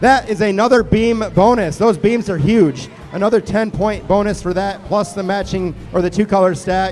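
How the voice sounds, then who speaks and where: Music in the background behind a high-pitched man, with ordinary pitch variation at a moderate pace. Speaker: match announcer. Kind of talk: live commentary. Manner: animated.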